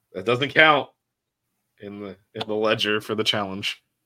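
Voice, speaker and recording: The recording is very clean, with nothing audible behind it. A man speaks with a bright, sharp tone. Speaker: college basketball podcast host. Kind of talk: casual sports chat.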